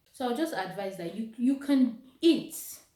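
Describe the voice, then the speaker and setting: Very wide pitch swings in a somewhat breathy voice at a fairly slow pace, with audible room echo. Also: woman. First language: not English. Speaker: vlogger. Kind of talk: motivational vlog talk. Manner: casual, conversational.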